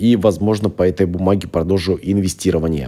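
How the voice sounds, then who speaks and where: A man speaks in a very deep, low pitch. His tone is dark and mellow. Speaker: investing video blogger. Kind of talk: casual tutorial-style portfolio review. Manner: hesitant, many filler sounds.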